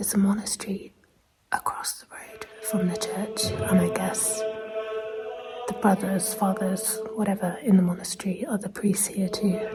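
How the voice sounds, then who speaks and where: A woman at medium pitch speaks at a moderate pace in a monotone, flat intonation. Long, frequent pauses recur while music plays in the background. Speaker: travel vlogger. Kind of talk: travel vlog narration. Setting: inside a church.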